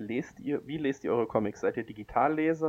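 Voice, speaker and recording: Ordinary pitch variation and a moderate pace from a man with a plain, everyday voice. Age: 20s. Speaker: comic podcast co-host and blogger. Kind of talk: casual chat.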